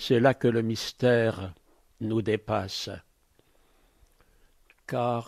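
This is a man speaking. His voice sits at a medium pitch. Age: 80s+. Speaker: retired missionary priest. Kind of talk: interview answer. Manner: hesitant, reflective.

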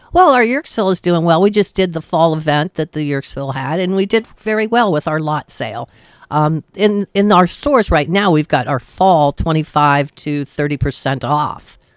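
A woman with an unremarkable speaking voice talks at a moderate pace, fairly low in pitch, with lively intonation and hardly any pauses. The sound is dry with no echo, and the background is quiet. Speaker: radio guest. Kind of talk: interview answer.

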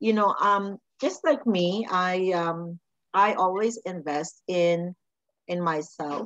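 The speaker is female. Her voice comes across dry, free of any echo. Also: quiet background. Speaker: podcast host. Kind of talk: interview host talk. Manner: enthusiastic, effusive. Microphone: video call.

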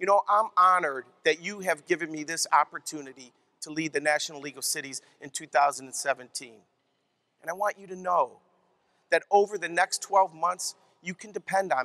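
A man speaks in a bright, sharp tone with ordinary pitch variation. His loudness swings widely, and the sound is dry with no echo. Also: moderate pace. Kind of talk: keynote speech. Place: hall. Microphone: headset.

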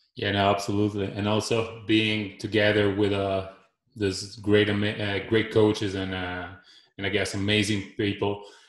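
Against a quiet background with audible room echo, a man speaks at a fairly low pitch. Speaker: podcast host. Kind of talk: interview. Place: home room.

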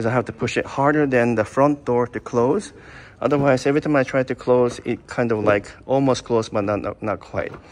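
His intonation stays fairly even as the man talks. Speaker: car reviewer. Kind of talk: casual review commentary. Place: shop. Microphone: phone near.

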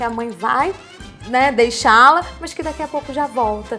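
Over faint music in the background, a woman talks at a moderate pace in a high pitch with ordinary pitch variation. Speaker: guest. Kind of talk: interview answer. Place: studio. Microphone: lapel.

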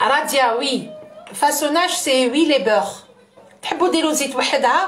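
A high female voice moving at a very slow pace. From Algeria. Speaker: cooking livestreamer. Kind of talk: live cooking stream. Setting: livestream.

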